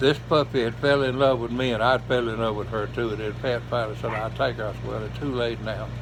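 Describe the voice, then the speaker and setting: In a Georgia accent, someone talks at a very fast pace with hardly any pauses. Noticeable background noise and audible room echo are present. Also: man. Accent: Southern US, Georgia. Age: 80s+. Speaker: retired race car driver and amateur gospel singer. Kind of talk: casual personal monologue.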